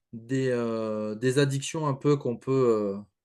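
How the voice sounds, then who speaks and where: A man speaks very slowly with a medium pitch. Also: quiet background. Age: 30s. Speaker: podcast host, fitness coach. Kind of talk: podcast interview.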